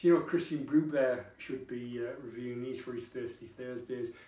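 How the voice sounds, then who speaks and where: Heard with audible room echo, a man with a Geordie accent speaks at a moderate pace in a dark, mellow tone. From northern England, Tyneside; northern England. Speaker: beer reviewer vlogger. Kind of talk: casual product review. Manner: chatty, informal. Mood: relaxed, jovial. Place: kitchen. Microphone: camera far.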